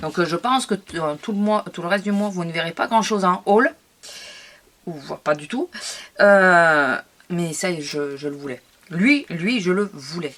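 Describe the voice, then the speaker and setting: Her intonation lively, a woman speaks at a fairly low pitch and a fairly slow pace, with long, frequent pauses. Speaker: scrapbooking youtuber. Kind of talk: product haul video. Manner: hesitant, many fillers.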